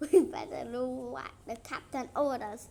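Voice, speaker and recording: A woman puts on a character voice at a moderate pace, her pitch fairly high, with clear background noise. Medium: read story.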